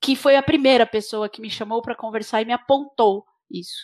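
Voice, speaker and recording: A woman talks with a Brazilian accent and fairly even intonation. The recording is very clean, with a silent background. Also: dry, close sound with no echo. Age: 40s. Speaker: engineer and NGO leader. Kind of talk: interview. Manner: halting, frequent repetitions.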